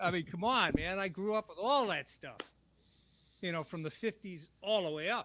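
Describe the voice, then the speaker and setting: A man's raised, projected voice, high-pitched and bright and sharp in tone, at a moderate pace, with ordinary pitch variation and big swings in loudness, on a very clean recording with a silent background. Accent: American. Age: 70s. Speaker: veteran guitarist. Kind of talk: casual chat.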